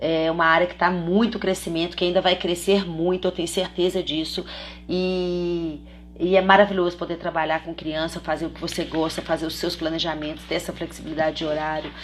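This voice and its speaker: A woman speaks in a fairly low pitch at a fairly quick pace. Her intonation is monotone and flat. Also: big swings in loudness. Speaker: children's personal trainer and course instructor. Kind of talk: live online class. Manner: fast.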